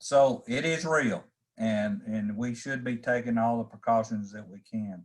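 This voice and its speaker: With a normal speaking voice, this man keeps a medium pitch, ordinary pitch variation and a moderate pace. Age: 60s. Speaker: farm organization leader. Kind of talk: casual talk.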